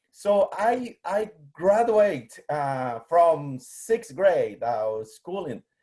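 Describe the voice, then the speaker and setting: Very slow speech with a dark, mellow tone and very wide pitch swings comes in a Guatemalan accent. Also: man. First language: Spanish. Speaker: museum collections manager, biologist. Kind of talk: presentation. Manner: halting, many fillers.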